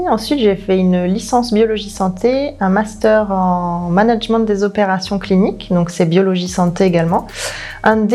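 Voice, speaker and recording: Over noticeable background noise, a woman speaks at a fairly slow pace with a medium pitch and ordinary pitch variation. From southern France, Ardèche. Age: 30s. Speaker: naturopathy consultant, former pharmacy worker. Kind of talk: testimony. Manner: hesitant, many fillers.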